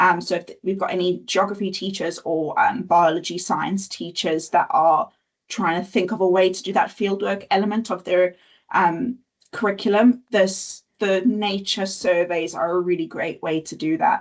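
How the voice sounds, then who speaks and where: A woman with an ordinary speaking voice talks at a medium pitch and moderate pace, with ordinary pitch variation. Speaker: nature education presenter. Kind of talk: webinar presentation.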